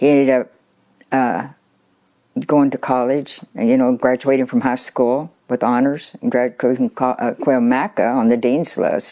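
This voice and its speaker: A woman speaks in a dark, mellow tone at a very deep, low pitch, with very even loudness and fairly even intonation. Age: 80s+. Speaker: college graduate. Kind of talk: interview answer.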